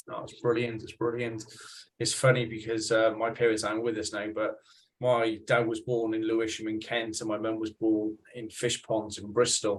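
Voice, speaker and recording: Monotone, flat delivery from a medium-pitched man with a Welsh accent at a moderate pace. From Wales. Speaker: podcast host. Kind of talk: casual interview.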